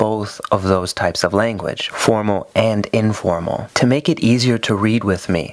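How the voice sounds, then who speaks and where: Here a man with an American accent has an unremarkable speaking voice at a fairly low pitch. He goes at a fairly slow pace with ordinary pitch variation. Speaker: English teacher. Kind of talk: tutorial.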